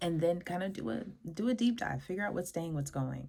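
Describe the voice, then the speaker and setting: A woman talks at a fairly quick pace. Her tone is dark and mellow, and somewhat breathy. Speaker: podcast host. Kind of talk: mini-lesson monologue. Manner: fast; casual, rambling.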